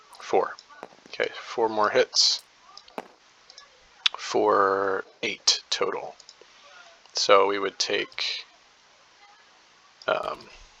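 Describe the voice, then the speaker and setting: A man talks very slowly, leaving long, frequent pauses, with noticeable background noise behind him. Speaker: board game player narrating a replay. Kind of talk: casual game commentary. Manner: hesitant, many fillers.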